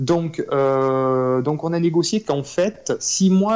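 A man with an ordinary speaking voice talks at a fairly high pitch with lively intonation. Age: 30s. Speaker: real estate investor. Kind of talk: interview.

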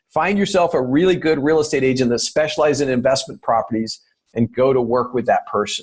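Lively intonation from a man talking at a very fast pace. His voice is somewhat breathy. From England. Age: 50s. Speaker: real estate investor and author. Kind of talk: interview.

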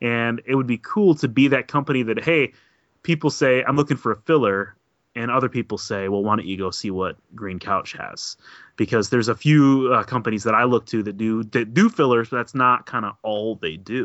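Moderate pace, medium pitch and ordinary pitch variation from a man. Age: 30s. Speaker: board game designer and publisher. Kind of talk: casual chat. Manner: halting.

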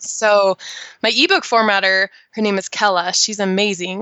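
Medium pitch from a woman with an American accent. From Idaho, US. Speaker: author and mentor. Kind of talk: interview. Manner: animated.

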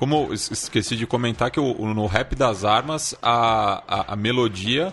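The man's medium-pitched voice is somewhat breathy and shows ordinary pitch variation. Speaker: podcast co-host. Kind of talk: casual chat.

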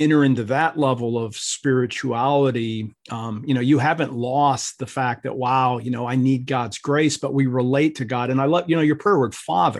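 In a normal speaking voice, a man talks at medium pitch and a moderate pace, with fairly even intonation and hardly any pauses. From US Midwest, Ohio. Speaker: professor and minister. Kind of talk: interview conversation.

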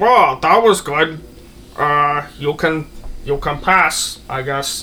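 A put-on character voice at a middle pitch speaks at a very slow pace over clear background noise. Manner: casual, offhand.

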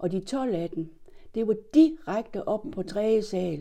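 Lively intonation runs through this woman's speech. Her tone sounds dark and mellow. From Denmark, Horsens. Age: 70s. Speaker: interviewee recalling her childhood. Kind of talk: oral history interview.

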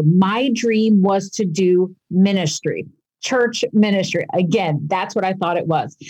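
A woman with an unremarkable speaking voice talks at a medium pitch and a fairly slow pace. Her intonation is lively. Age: 40s. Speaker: professor and author. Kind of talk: casual interview.

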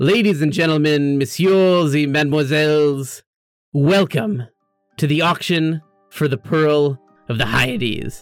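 In a put-on character voice, a man booms at a fairly high pitch and fairly slow pace, his loudness very even, with faint music in the background.

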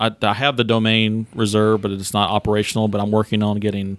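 A man with an Alabama accent talks in a fairly low pitch and a monotone, flat intonation. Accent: US Southern (Alabama). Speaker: golf club general manager. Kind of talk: interview.

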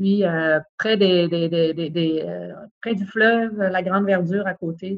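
A woman talks very slowly, her medium-pitched voice holding a fairly even intonation. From Quebec, Saguenay-Lac-Saint-Jean (Chicoutimi). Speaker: lawyer, bar president candidate. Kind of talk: interview. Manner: halting, many repetitions.

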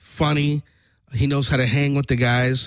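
In a very clean recording with a silent background, a man with an American accent uses a normal speaking voice, fairly high in pitch, at a fairly slow pace with fairly even intonation. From Orange County, California. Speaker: trombonist. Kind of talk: casual interview chat. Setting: studio.

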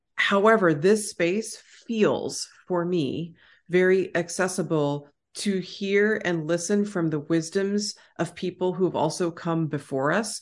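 Speaking at a fairly slow pace with an American accent, this is an ordinary speaking voice with ordinary pitch variation over a quiet background. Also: woman, fairly low pitch for a woman. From Texas. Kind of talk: casual conversational interview.

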